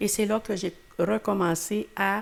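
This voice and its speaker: A woman's medium-pitched voice with vocal fry, in a Quebec accent. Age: 80s+. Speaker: retired teacher. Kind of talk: interview. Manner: halting.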